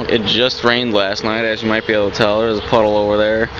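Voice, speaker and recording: A man is speaking with a dry sound and no echo. Noticeable background noise is present. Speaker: vlogger. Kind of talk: casual vlog chat. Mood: joking, self-deprecating. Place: street. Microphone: phone near.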